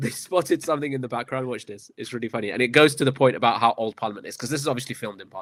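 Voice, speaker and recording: A man talks at a very fast pace with a medium pitch, ordinary pitch variation and big swings in loudness. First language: not English. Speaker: political commentator and show host. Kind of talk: casual political chat show. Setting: live stream studio.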